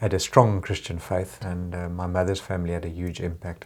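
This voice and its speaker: The speaker is a man. His voice is very deep and low. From Zimbabwe. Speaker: engineer. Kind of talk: testimony. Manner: halting, many fillers.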